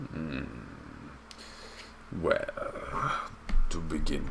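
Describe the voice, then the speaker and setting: A man uses a put-on character voice. He speaks at a very slow pace over clear background noise. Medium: actual play. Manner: slow, sly, refers to himself in third person.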